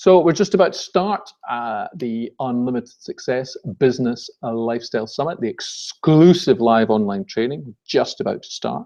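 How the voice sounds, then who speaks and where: This man has a Scottish accent and a dark, mellow tone. His intonation is lively. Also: medium pitch for a man, moderate pace. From Scotland. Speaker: business webinar presenter. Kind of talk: webinar presentation. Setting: live online webinar.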